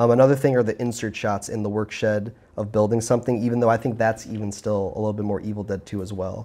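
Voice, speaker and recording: A man's fairly low, dark and mellow voice, flat and monotone, at a very fast pace with hardly any pauses. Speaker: film commentator. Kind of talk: casual film discussion. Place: home room.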